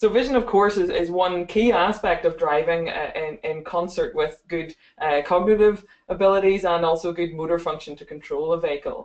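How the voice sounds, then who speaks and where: A moderate pace with ordinary pitch variation. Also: woman, fairly low pitch for a woman. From Northern Ireland. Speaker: optometry lecturer. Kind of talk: webinar presentation. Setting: online webinar. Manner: hesitant, many fillers and repeats.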